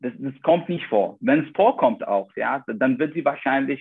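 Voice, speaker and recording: A man speaks at a moderate pace in a fairly high voice. His intonation is lively. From Iraq. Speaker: doctor, vascular surgeon. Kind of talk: interview.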